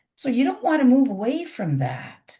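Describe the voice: A woman speaks at a moderate pace. Her medium-pitched voice is raspy.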